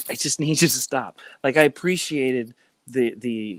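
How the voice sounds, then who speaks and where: The sound is dry and close, with no echo. A man with a plain, everyday voice at a medium pitch talks at a fairly slow pace with lively intonation. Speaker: life coach, former entertainer. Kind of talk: casual interview chat.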